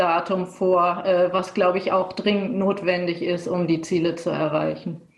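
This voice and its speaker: Amid noticeable background noise and audible room echo, a woman speaks at a fairly slow pace and a medium pitch. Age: 30s. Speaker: politician. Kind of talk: panel discussion.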